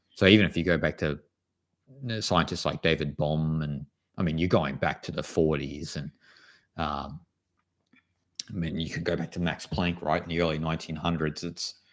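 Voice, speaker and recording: A man's very deep, low voice with an Australian accent, at a moderate pace, with fairly even intonation and long, frequent pauses. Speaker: spiritual author and channel host. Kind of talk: live stream Q&A chat. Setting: live stream. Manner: casual, halting.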